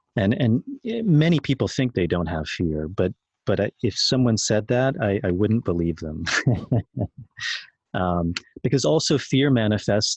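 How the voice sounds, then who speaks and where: Against a quiet background, a man with a fairly low pitch speaks at a moderate pace with lively intonation, the sound dry and close with no echo. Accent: American. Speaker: ayahuasca facilitator. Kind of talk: podcast interview answer.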